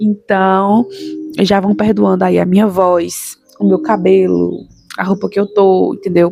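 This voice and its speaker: The woman's voice sounds dry and close with no echo, though noticeable background noise comes through. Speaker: YouTuber, mother giving daily reflections. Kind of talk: casual vlog talk to viewers. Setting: at home, recording at night.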